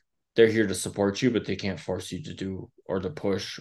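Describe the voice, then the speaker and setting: Here a man speaks with an American accent. His pitch is fairly low and the background is quiet. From rural Wisconsin. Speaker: social worker and therapist. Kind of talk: interview.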